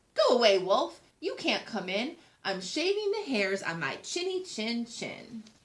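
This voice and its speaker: Putting on a character voice, a woman speaks in a high pitch at a fairly slow pace. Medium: read story. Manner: shouting.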